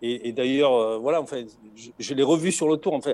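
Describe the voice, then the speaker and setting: A man talks at a fairly quick pace in a medium pitch. The recording is very clean, with a silent background. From southern France. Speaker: retired Tour de France logistics manager and author. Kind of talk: interview. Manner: halting, many repetitions.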